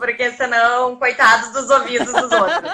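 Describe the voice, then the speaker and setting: In a Porto Alegre accent, a woman speaks at a fairly slow pace in a high-pitched, bright, sharp tone with a raised, projected voice. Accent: southern Brazilian (Porto Alegre). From Porto Alegre, southern Brazil. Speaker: investment content creator. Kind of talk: casual chat. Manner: sing-song intonation.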